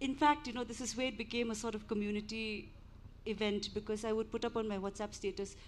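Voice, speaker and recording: A woman with an Indian accent at a very fast pace. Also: fairly high pitch for a woman, fairly even intonation. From India, army family; grew up partly in Shillong. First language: Hindi. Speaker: book author and translator. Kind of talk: panel discussion. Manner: hesitant, many fillers.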